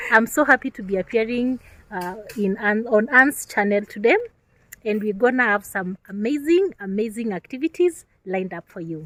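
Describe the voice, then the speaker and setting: A woman's fairly high voice with lively intonation and big swings in loudness, moderate pace, in a dry, close sound with no echo. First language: not English. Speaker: content creator. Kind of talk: casual vlog chat.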